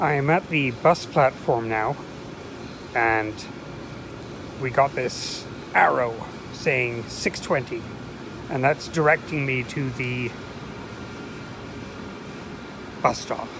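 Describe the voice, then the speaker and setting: Very slowly and with long, frequent pauses, a man speaks with fairly even intonation in a dry sound with no echo, though noticeable background noise is present. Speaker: travel vlogger. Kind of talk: casual vlog narration. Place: station. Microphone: phone near.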